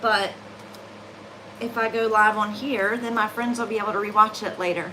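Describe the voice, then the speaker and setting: A woman with a Southern US accent speaks at a fairly high pitch and a moderate pace. Her intonation is monotone and flat, with noticeable background noise behind her. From US South. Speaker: cookie decorator. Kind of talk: livestream tutorial chat. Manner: casual, chatty.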